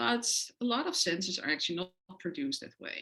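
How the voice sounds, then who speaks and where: Woman with a bright, sharp tone and a Dutch accent. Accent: foreign accent (Dutch). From Netherlands. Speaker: professor. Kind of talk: lecture. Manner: frequent hesitations (uh, um).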